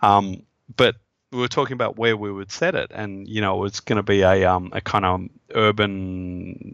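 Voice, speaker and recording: A man with an Australian accent, fairly low pitch and fairly even intonation, against a quiet background. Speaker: game designer. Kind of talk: interview. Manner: halting, many fillers.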